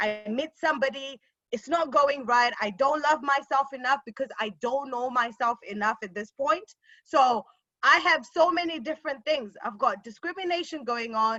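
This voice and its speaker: Her voice raised and projected, a woman speaks at a high pitch and a moderate pace with a bright, sharp tone and ordinary pitch variation. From Zimbabwe. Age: 30s. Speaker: panelist and lawyer. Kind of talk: personal testimony in panel discussion. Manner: halting, with many fillers.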